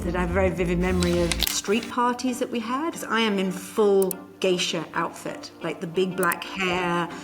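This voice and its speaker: Music plays in the background as a woman speaks with a British accent. Her intonation is lively and her pace is moderate. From UK. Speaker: corporate psychologist and keynote speaker. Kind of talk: interview answer.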